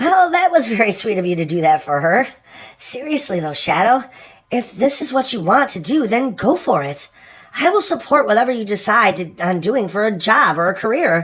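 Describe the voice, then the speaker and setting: A put-on character voice from a man, high in pitch, at a moderate pace. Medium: fan dub. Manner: warm, affectionate.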